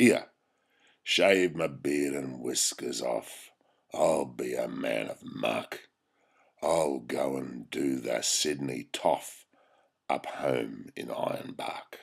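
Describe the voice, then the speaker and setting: Putting on a character voice, a man speaks very slowly in a very deep, low, raspy tone. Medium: read story. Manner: blunt, rough.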